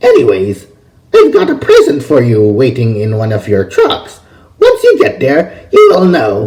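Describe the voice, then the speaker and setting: A man uses a put-on character voice. He speaks in a raised, projected voice at a moderate pace. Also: fairly high pitch for a man. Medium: read story. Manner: teasing, smug.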